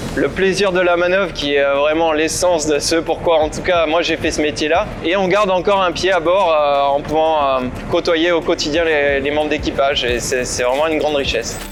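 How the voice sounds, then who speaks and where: Amid noticeable background noise, a man with fairly high pitch speaks at a moderate pace with hardly any pauses, fairly even intonation, and very even loudness. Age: 30s. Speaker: maritime pilot. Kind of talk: interview. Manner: hesitant, many filler sounds.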